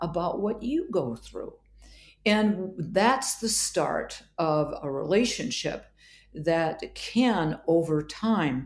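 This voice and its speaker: Somewhat breathy and fairly low in pitch, a woman speaks with an American accent and lively intonation. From Wisconsin, US Midwest. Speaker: psychiatrist. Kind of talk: interview conversation.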